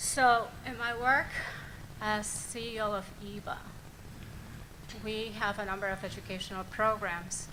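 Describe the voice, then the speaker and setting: Against noticeable background noise and audible room echo, a woman with a Puerto Rican accent speaks fairly slowly at a fairly high pitch, with fairly even intonation and long, frequent pauses. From Puerto Rico. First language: Spanish. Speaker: nonprofit CEO and education board member. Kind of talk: public board statement. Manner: formal.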